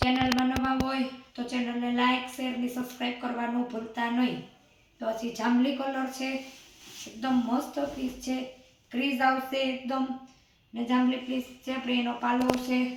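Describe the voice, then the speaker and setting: Soft-spoken and high-pitched, a woman talks in a monotone, flat way, with audible room echo and noticeable background noise. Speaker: saree seller vlogger. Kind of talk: sales pitch.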